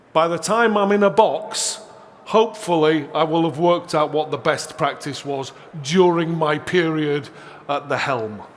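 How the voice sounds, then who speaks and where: With noticeable background noise and audible room echo, a man speaks at a fairly slow pace and fairly high pitch, with ordinary pitch variation. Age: 60s. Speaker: seminar presenter. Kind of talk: conference seminar talk.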